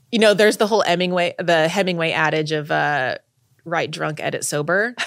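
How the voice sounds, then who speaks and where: A woman with an American accent and a plain, everyday voice, fairly low-pitched, with ordinary pitch variation at a moderate pace, on a very clean recording with a silent background. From Texas. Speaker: writer on sober sex and dating. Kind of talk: casual interview chat. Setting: in-person studio recording.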